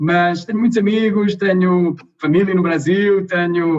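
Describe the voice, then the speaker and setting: A man speaks with a European Portuguese accent. His intonation stays fairly even. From Portugal. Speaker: energy company executive. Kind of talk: interview. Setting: video call.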